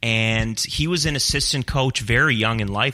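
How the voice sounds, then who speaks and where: Medium in pitch, this man's voice has a bright, sharp tone. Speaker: sports broadcast producer. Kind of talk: casual chat.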